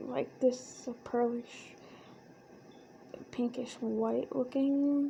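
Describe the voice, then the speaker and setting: In an American accent, a soft-spoken, dark, mellow voice moves at a very slow pace with monotone, flat intonation and long, frequent pauses. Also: woman. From United States. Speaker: ASMR creator. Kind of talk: ASMR soft-spoken talk to camera. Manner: soft-spoken, relaxed, casual.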